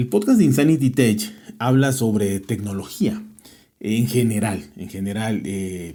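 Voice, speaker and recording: Speaking with a Mexican accent, a man has a dark, mellow tone. His pace is fairly slow, with ordinary pitch variation. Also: medium pitch for a man. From Mexico. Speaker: tech podcaster. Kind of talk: interview. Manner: hesitant, many fillers.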